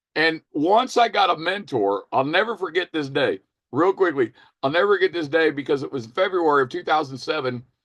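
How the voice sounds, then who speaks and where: Energetic in tone and lively in intonation, the fairly quick speech has a dry, close sound with no echo and a quiet background. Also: man, fairly high pitch for a man. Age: 60s. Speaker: network marketing team leader. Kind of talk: testimony. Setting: video call. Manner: energetic, emphatic.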